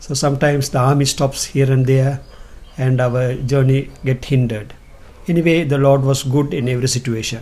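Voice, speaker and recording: A man speaks at a moderate pace in a dark, mellow, somewhat breathy tone with fairly even intonation. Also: medium pitch for a man. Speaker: pastor and evangelist. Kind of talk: testimony.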